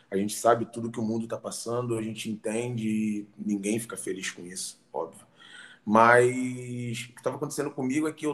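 A man talks at a moderate pace in a plain, everyday voice. His pitch is medium, with ordinary pitch variation. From Rio de Janeiro, Brazil. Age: 30s. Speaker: fitness professional. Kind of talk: casual interview.

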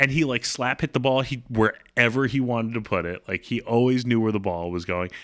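In a very clean recording with a silent background, a man talks at a fairly quick pace with hardly any pauses, medium pitch, ordinary pitch variation and a normal speaking voice. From US, Baltimore. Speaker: podcast co-host. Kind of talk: casual chat.

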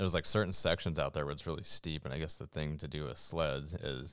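Speaking at a fairly quick pace, a man with a very deep, low pitch shows vocal fry. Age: 20s. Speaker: endurance athlete and podcast co-host. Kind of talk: casual chat.

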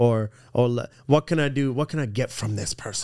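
In a very clean recording with a silent background, a man speaks with an American accent. His pitch is medium, his pitch variation ordinary, and his pace moderate. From California, Orange County. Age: 30s. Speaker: professional sports bettor. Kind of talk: casual interview. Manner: halting, many fillers.

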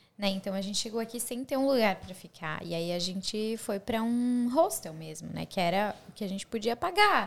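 This woman has an unremarkable speaking voice with a fairly high pitch and lively intonation. She talks at a moderate pace with hardly any pauses. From Brazil, Santa Catarina. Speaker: YouTuber. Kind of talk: casual chat.

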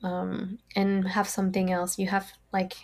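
A woman's fairly slow, somewhat breathy voice with a French accent, medium pitch and monotone, flat intonation. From France. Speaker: forensic artist. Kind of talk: casual interview.

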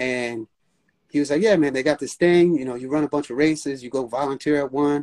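A man has an unremarkable speaking voice with a fairly high pitch. He talks at a fairly quick pace, and the sound is dry and close with no echo. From New York City. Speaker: run crew leader. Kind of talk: casual interview.

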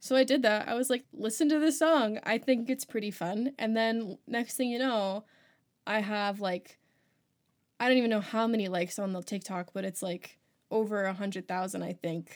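This woman has an ordinary speaking voice with an American accent and a fairly high pitch. She talks at a moderate pace on a very clean recording with a silent background. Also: ordinary pitch variation. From Maryland, DC area. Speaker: music student, singer-songwriter and podcast host. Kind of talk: casual interview chat.

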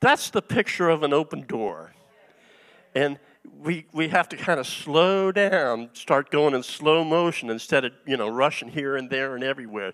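Heard with a dry, close sound and no echo, a man with an American accent speaks at a moderate pace, fairly high in pitch with lively intonation. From US East Coast. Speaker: guest preacher, retired engineer. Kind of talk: sermon. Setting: church. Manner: halting, many fillers.

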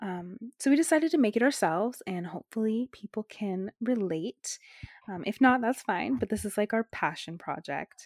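A woman's fairly high voice at a moderate pace, an ordinary speaking voice, dry and close with no echo, on a very clean recording with a silent background. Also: lively intonation. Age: 20s. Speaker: podcast host, nursing student. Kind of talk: casual chat.

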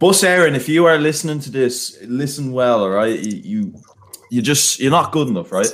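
This man talks in a fairly high pitch with an animated tone and very wide pitch swings. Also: moderate pace. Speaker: student podcast co-host. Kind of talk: casual chat.

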